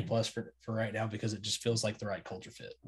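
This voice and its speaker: Somewhat breathy, a man with an American accent talks at a medium pitch. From Oklahoma, Tulsa area. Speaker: college sports podcaster. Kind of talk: casual chat.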